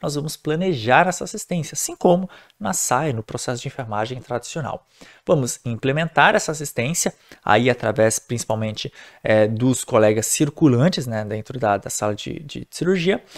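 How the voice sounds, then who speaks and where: Against a quiet background, a man in a normal speaking voice talks at a medium pitch and a moderate pace, with lively intonation. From Brazil. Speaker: nurse and nursing teacher; nursing teacher. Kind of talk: lecture. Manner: casual, conversational. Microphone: webcam.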